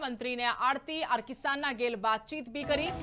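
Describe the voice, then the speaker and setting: Over music in the background, a woman with a Haryana accent speaks in a raised, projected voice at a high pitch with ordinary pitch variation. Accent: Haryanvi. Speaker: news anchor. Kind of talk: regional news bulletin read.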